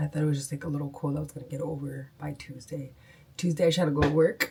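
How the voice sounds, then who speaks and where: A woman's very deep, low pitch, somewhat breathy, at a very fast pace with fairly even intonation. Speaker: dental hygienist vlogger. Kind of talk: casual vlog talk. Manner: casual, chatty.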